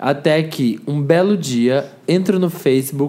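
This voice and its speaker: A man speaks with a Brazilian accent. His pitch is fairly high. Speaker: podcast guest. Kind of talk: casual chat.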